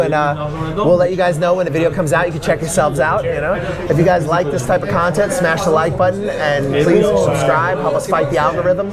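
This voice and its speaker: Music plays in the background and audible room echo fills the space. A man speaks very fast at a high pitch with ordinary pitch variation. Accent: New York. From New York City. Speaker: travel vlogger. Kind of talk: casual chat.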